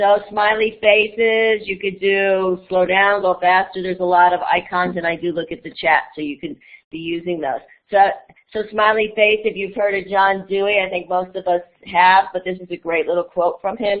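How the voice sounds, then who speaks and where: A woman speaks in a normal speaking voice, medium in pitch, at a moderate pace with fairly even intonation. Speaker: educator and conference presenter. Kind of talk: online conference presentation.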